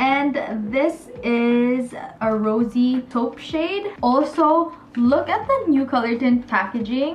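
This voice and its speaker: Light background noise sits behind a woman's high voice. Her pace is very slow. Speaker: beauty vlogger. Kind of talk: casual vlog chat. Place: home room.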